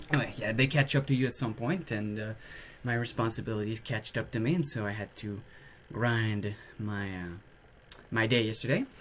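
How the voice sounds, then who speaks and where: A man speaks at a medium pitch and a fairly quick pace, with ordinary pitch variation and a somewhat breathy quality. His delivery has long, frequent pauses. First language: French. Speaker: podcaster. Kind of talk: casual monologue. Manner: hesitant, many filler words.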